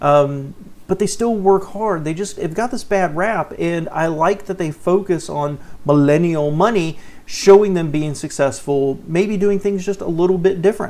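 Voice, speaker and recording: Through noticeable background noise, a man with a Southern US accent talks at a moderate pace and high pitch, with ordinary pitch variation. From US South. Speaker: personal finance YouTuber. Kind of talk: reaction commentary. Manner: casual, conversational.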